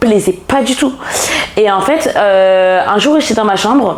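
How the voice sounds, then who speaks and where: At a fairly slow pace, a woman of medium pitch speaks with noticeable background noise and audible room echo. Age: 20s. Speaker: personal development coach. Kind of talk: casual podcast interview. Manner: hesitant, many fillers.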